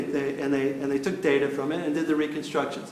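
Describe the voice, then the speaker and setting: A man talks at a very fast pace. Noticeable background noise and audible room echo surround his voice. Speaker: professor. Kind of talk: lecture. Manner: halting, many fillers.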